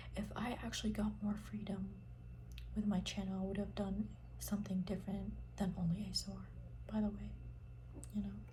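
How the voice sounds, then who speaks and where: Whispering and soft-spoken, the speaker keeps to a moderate pace. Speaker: ASMR creator. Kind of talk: ASMR whisper chat. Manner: whispered, soft-spoken.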